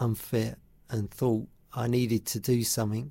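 A man's voice with a dark, mellow tone. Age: 50s. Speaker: radio host. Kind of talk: radio interview. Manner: hesitant, many fillers.

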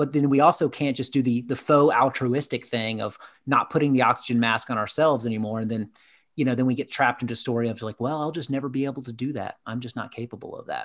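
Speaking at a very fast pace with fairly even intonation, a man with a medium pitch and an American accent comes through on a very clean recording with a silent background. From US South, Atlanta, Georgia. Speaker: executive coach. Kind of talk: interview conversation.

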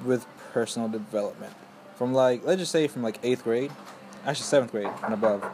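Noticeable background noise sits behind a man's voice. He talks at a fairly quick pace with ordinary pitch variation. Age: young. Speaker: student interviewer. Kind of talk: casual interview.

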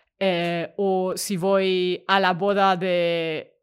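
On a very clean recording with total silence behind her, a woman talks in a mid-range pitch. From Germany. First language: German (speaking Spanish). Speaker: tech worker. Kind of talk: interview. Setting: at home.

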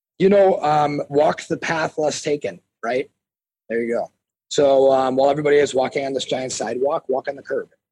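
Speaking at a fairly quick pace with an American accent, a man uses a fairly high pitch, a dark, mellow tone and ordinary pitch variation, recorded with a dry, close sound and no echo. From US Midwest, Milwaukee, Wisconsin. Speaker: personal trainer and former fighter. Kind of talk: casual interview. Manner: animated, filler-heavy.

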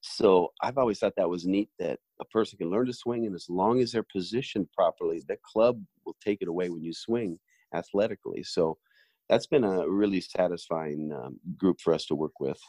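A man with a normal speaking voice talks at a moderate pace in a fairly low pitch, with ordinary pitch variation. The sound is dry and close, with no echo. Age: 50s. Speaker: golf training aid company owner. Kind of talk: interview.

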